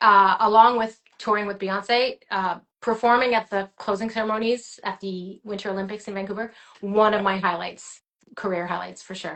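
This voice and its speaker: At a medium pitch, a woman speaks at a moderate pace with monotone, flat intonation. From Quebec, Gatineau. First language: French. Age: 30s. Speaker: singer and actress. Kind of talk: interview.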